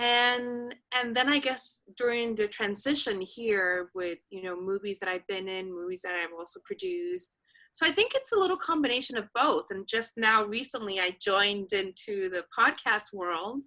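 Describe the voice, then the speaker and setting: With a Spanish accent, a woman speaks at a moderate pace in a bright, sharp tone, her fairly high pitch showing ordinary variation. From Dominican Republic. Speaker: actress and producer. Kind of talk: casual chat. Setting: video call.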